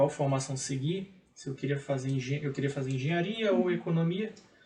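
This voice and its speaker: Noticeable background noise sits behind a man's voice. His pitch is fairly high, with ordinary pitch variation. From Maranhão, Brazil. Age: 30s. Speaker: economist and public auditor. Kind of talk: TV interview.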